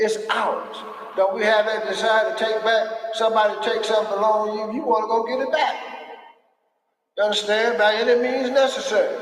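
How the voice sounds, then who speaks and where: Speaking at a fairly quick pace, a man with a high pitch is heard with audible room echo. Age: 70s. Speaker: elder speaking at a men's gathering. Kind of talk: impassioned speech. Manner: animated.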